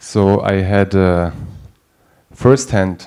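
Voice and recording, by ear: A man speaks with low pitch and a slightly mellow tone.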